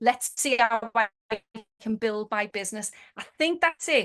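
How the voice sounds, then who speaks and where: Here is a woman with a Liverpool accent. Her pitch is fairly high. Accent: Scouse. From Liverpool, England. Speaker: network marketing manager. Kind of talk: motivational webinar talk. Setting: video call. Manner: fast; animated.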